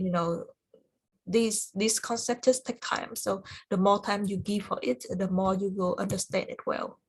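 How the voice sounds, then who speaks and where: A woman speaks at a medium pitch and a moderate pace. Her voice is somewhat breathy. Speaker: cloud certification study group instructor. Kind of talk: online tutorial review session. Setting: video call. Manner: halting, many fillers.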